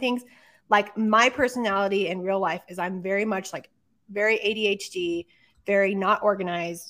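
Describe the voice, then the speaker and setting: A woman with an American accent has a normal speaking voice at medium pitch with fairly even intonation. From New Mexico, US Southwest. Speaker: podcast co-host and artist. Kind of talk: casual chat.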